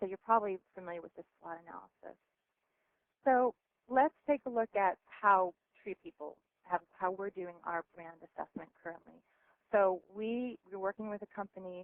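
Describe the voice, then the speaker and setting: Big swings in loudness run through a woman's medium-pitched voice, which has ordinary pitch variation. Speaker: nonprofit marketing presenter. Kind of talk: webinar presentation. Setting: phone conference call. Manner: fast.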